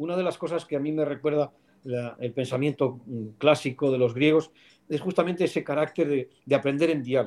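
In a very clean recording with a silent background, a man with an ordinary speaking voice talks at a fairly quick pace with fairly even intonation. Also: fairly high pitch for a man. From Spain, León. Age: 50s. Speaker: philosophy professor. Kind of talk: interview.

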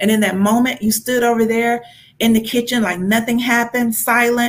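A woman talks at a very fast pace with a Southern US accent, her intonation monotone and flat. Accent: Southern American. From US South, Georgia. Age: 40s. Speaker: faith-based business coach. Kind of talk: interview.

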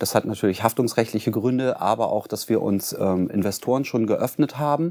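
A man speaks at medium pitch with ordinary pitch variation, a normal speaking voice. The recording is very clean, with a silent background. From Germany, Bremen. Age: 40s. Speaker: cleaning company founder. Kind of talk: interview. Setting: studio.

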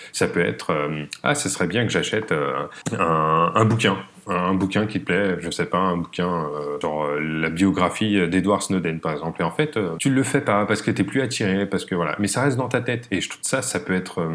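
Lively intonation at a moderate pace, with noticeable background noise. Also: man, very deep, low pitch for a man. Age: 30s. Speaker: productivity coach. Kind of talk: casual chat.

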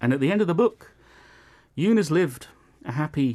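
On a very clean recording with a silent background, a man's voice swings very widely in pitch. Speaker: radio host. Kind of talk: casual chat. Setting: studio.

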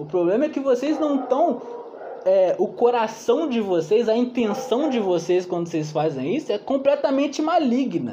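An extremely high-pitched man's voice with very wide pitch swings over noticeable background noise. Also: moderate pace. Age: 20s. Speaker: bible study leader. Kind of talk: bible study teaching. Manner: casual, slangy.

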